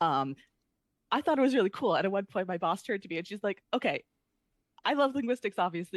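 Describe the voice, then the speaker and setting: Talking very fast in an American accent, a woman with a medium pitch makes very wide pitch swings, in a dry, close sound with no echo. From United States. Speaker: researcher. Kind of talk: interview.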